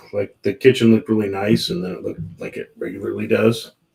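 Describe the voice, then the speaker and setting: In a raspy, fairly low put-on character voice, a man talks at a very fast pace. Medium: actual play. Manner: cocky, one-upping.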